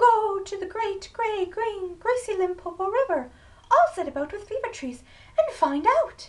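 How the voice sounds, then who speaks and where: Squeaky and pitched extremely high, a put-on character voice moves along at a moderate pace. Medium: read story.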